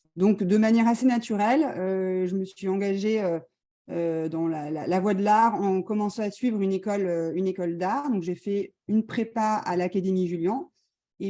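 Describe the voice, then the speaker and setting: Fairly slow in delivery, this voice carries a dark, mellow tone and its pitch varies in an ordinary way. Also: woman. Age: 40s. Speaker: visual artist. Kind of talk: presentation. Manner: halting.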